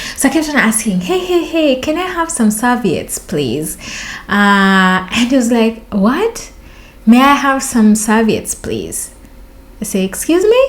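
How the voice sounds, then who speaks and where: A woman with a Kenyan accent speaks at a fairly slow pace and fairly high pitch, her animated tone marked by very wide pitch swings. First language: Luo. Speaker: vlogger. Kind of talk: storytelling vlog.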